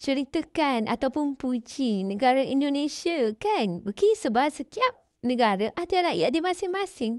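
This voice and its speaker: A woman's high-pitched voice, fairly slow, with very wide pitch swings, a dry, close sound with no echo and a quiet background. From Malaysia, Kedah. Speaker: vlogger. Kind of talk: casual talk to camera responding to comments. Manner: conversational, frequent fillers.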